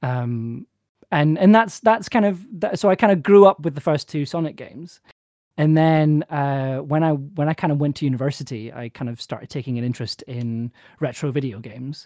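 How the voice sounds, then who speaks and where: A man's dark, mellow tone, dry and close with no echo, on a very clean recording with a silent background. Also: lively intonation. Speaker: video game enthusiast. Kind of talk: casual chat. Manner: fast talker; halting.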